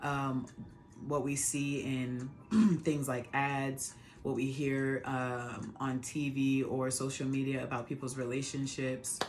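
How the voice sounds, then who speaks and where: Over music in the background, a woman talks at a very slow pace in a very deep, low voice with monotone, flat intonation. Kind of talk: casual talk to camera.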